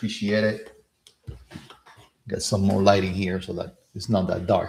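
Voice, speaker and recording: A man with a Cuban accent and a fairly low pitch talks at a fairly slow pace, with audible room echo. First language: Spanish. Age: 50s. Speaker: career and real estate coach. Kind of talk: live stream talk. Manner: halting, many fillers.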